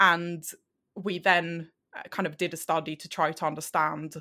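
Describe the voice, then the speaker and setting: With a Swedish accent, a woman speaks at a moderate pace in a fairly low pitch. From Sweden. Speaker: health psychology researcher. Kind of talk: interview. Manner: halting.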